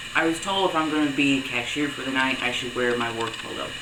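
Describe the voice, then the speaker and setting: Amid noticeable background noise and audible room echo, a man speaks at medium pitch and a fairly quick pace. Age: young. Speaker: vlogger. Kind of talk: video diary. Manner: casual, conversational.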